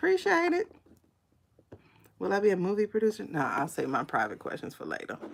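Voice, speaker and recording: With an animated tone, a woman talks at a moderate pace. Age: 40s. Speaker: psychic tarot reader livestreamer. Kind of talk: livestream pendulum reading and political chat. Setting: live stream on YouTube and TikTok. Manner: casual, animated.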